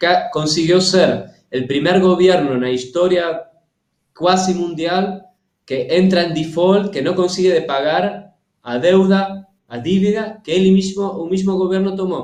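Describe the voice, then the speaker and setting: A man's high-pitched voice at a fairly slow pace. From Argentina. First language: Spanish (speaking Portuguese). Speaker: cultural policy expert. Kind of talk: interview. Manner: halting, many hesitations.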